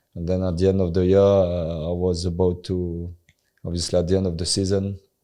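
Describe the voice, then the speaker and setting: With a French accent, a man talks in a very deep, low pitch and a dark, mellow tone, his intonation monotone and flat. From France. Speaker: former professional footballer. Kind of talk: interview. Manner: halting, many fillers.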